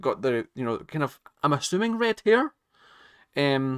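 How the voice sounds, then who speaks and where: The man's bright, sharp voice sits fairly high and moves in very wide pitch swings, with a dry, close sound and no echo. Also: very clean recording, silent background. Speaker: YouTube reaction creator. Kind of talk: casual reaction commentary. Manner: stuttering, hesitant.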